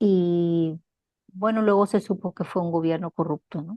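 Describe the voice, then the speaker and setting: A woman at a medium pitch with ordinary pitch variation and a fairly slow pace, dry and close with no echo, against a quiet background. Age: 60s. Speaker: interviewee. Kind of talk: interview. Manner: hesitant, many fillers.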